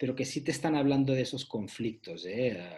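A somewhat breathy man's voice with lively intonation at a moderate pace. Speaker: author discussing his book about the 90s. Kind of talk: casual chat.

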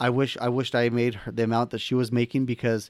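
Fairly quick and medium in pitch, a man talks in an ordinary speaking voice. The recording is very clean with a silent background, the sound dry and close with no echo. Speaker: podcast co-host, personal finance author. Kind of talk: casual chat.

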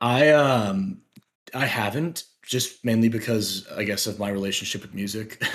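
A man with a normal speaking voice and medium pitch talks at a moderate pace, with big swings in loudness. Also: ordinary pitch variation. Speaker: language learner. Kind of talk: casual chat.

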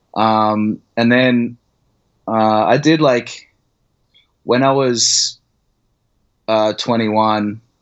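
A man with an Australian accent speaks at a very slow pace in a medium pitch, with fairly even intonation, very even loudness, and long, frequent pauses. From Australia, Brisbane. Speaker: artist. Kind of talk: casual chat.

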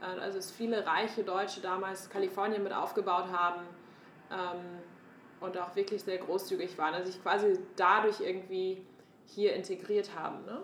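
A woman's monotone, flat delivery against noticeable background noise. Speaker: podcast co-host, startup founder. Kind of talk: casual chat.

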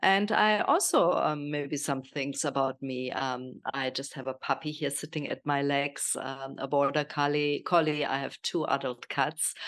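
A woman speaks at a fairly slow pace with hardly any pauses, her pitch very deep and low and its variation ordinary. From Germany. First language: German. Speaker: health and nutrition coach. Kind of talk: casual interview.

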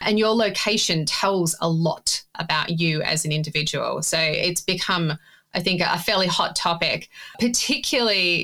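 A woman speaks with an Australian accent at a moderate pace in a fairly low, bright, sharp voice, her loudness very even and her pitch variation ordinary. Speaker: data ethics expert. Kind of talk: casual interview conversation.

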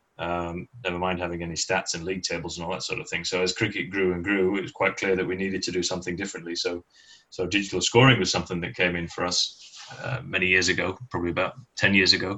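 With a Mancunian accent, a man talks very fast in a very deep, low voice, his intonation fairly even. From northern England, Manchester. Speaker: sports association chairman. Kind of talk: interview.

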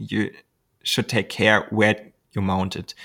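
On a very clean recording with a silent background, a man speaks with a German accent and vocal fry, the sound dry and close with no echo. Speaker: glider pilot and YouTuber. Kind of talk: interview. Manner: hesitant, many ums.

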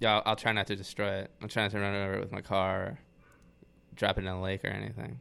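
An American-accented man talks very fast in a fairly low voice with ordinary pitch variation. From Atlanta, Georgia, US South. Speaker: metal band musician. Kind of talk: casual chat.

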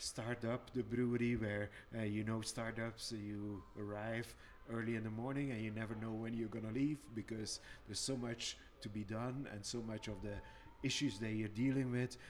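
A man at medium pitch with a Flemish accent and monotone, flat intonation. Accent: Belgian (Flemish). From Belgium. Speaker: brewer, brewery owner. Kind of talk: casual chat. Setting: brewery barrel cellar.

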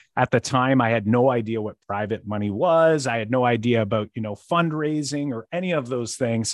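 Using a plain, everyday voice, a man speaks at medium pitch and a fairly quick pace with ordinary pitch variation and hardly any pauses. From Windsor, Ontario, Canada. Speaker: real estate investor and math teacher. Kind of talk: casual interview chat.

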